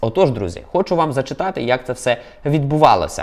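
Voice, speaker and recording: A man with an unremarkable speaking voice and a fairly high pitch talks at a fairly quick pace with lively intonation. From Ukraine, Volyn. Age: 30s. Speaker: video blogger. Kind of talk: news vlog monologue.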